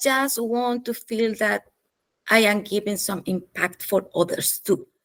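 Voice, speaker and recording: With a non-native accent, a woman speaks at a fairly high pitch with fairly even intonation. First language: not English. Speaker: business consultant. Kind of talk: interview. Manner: passionate; halting.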